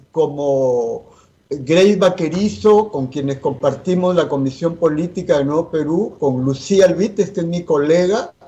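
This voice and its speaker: A man speaks very slowly in a high pitch with lively intonation. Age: 60s. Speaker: politician. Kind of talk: interview. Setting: at home, remote.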